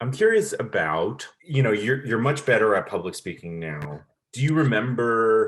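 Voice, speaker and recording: A man talks at a moderate pace, his intonation lively. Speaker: podcast host. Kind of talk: interview. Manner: loud.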